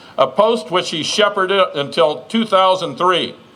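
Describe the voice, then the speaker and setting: Noticeable background noise sits behind a man with a high pitch. He speaks at a fairly quick pace with ordinary pitch variation. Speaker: master of ceremonies. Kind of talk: formal introduction speech.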